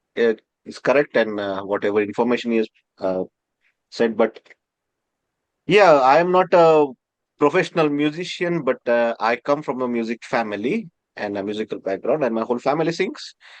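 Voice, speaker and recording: A man with an Indian accent, medium pitch, lively intonation, a moderate pace and long, frequent pauses, in a dry, close sound with no echo. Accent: Indian (Marathi) English. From India, Maharashtra. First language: Marathi. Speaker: professor. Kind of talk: interview. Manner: halting, many fillers.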